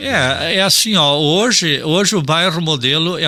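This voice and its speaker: A man with a fairly high pitch and a bright, sharp tone talks at a fairly slow pace. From Rio Grande do Sul, Brazil (Ijuí). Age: 60s. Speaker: environmentalist and farmer. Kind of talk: radio interview. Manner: casual, with frequent fillers (tá, assim ó).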